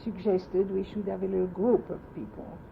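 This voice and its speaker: A somewhat breathy woman's voice, medium in pitch, with ordinary pitch variation and a French accent. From France. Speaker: oral history interviewee. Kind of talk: oral history interview. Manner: halting.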